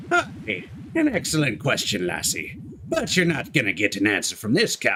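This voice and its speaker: At a moderate pace, someone performs in a put-on character voice. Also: man, fairly high pitch for a man. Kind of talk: nautical pirate speech, playful.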